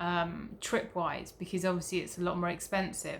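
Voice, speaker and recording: This is a woman with a British accent. Her pitch is medium. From Britain. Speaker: travel vlogger. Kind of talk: casual vlog. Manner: hesitant with many fillers.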